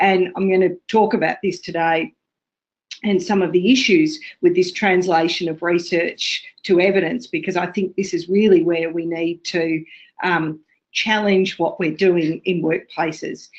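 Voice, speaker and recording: A woman's medium-pitched voice with an Australian accent, fairly slow, with ordinary pitch variation and a quiet background. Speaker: associate professor, ergonomics researcher. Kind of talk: webinar presentation. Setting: webinar, remote. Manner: hesitant, many fillers.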